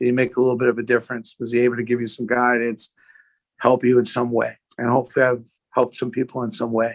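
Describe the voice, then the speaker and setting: Speaking in a flat monotone at a very fast pace, a man with a New York accent holds a medium pitch. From US Northeast (Brooklyn, New York). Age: 60s. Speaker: sports memorabilia entrepreneur. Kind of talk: interview conversation.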